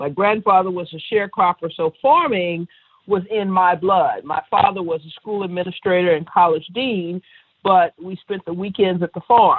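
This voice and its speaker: A woman with an American accent and an unremarkable speaking voice, medium pitch, ordinary pitch variation and a moderate pace. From Texas, Dallas. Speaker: winery owner. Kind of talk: interview.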